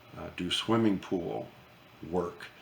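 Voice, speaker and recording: A man speaks very slowly in a very deep, low voice, with ordinary pitch variation and audible room echo. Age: 70s. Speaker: retired gunsmith vlogger. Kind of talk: casual monologue to camera. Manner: halting, many fillers and repeats.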